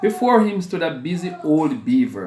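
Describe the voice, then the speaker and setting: The man's pitch swings very widely. Noticeable background noise is present. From Jamaica. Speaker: school bursar. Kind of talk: children's story reading.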